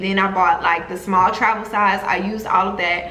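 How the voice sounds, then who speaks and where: With a Southern US accent, a woman speaks at a medium pitch. Audible room echo and noticeable background noise are present. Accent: American country. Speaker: travel vlogger. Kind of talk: casual vlog storytelling.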